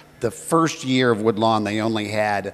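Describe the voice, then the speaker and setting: Noticeable background noise sits behind a man with an American accent whose pitch varies in an ordinary way. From Arlington, Virginia, US. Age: 50s. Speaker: alumnus telling a personal story. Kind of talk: personal reminiscence at an anniversary event. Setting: celebration event. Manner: hesitant, many fillers.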